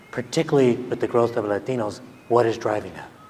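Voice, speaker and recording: Against noticeable background noise, a man with an American accent talks at a medium pitch and a moderate pace, his intonation fairly even. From California. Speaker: professor and keynote speaker. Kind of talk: keynote speech.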